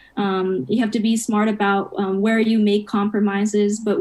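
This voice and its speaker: In an American accent, a woman speaks at medium pitch and a moderate pace. Her tone is dark and mellow, her intonation monotone and flat. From Japan and US upbringing. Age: 20s. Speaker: college student. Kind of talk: interview chat.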